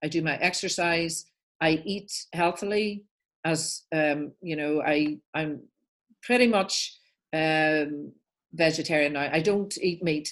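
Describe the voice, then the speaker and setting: With an Irish accent, a woman speaks at a very slow pace with long, frequent pauses and a very deep, low pitch. Her pitch variation is ordinary, and the background is quiet. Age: 60s. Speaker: life coach and author. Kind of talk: interview storytelling. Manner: animated.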